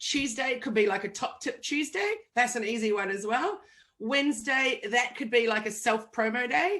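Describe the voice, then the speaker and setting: A woman with a fairly high pitch and a bright, sharp tone sounds animated, her voice making very wide pitch swings at a moderate pace. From New Zealand. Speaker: digital marketing agency owner. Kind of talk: interview.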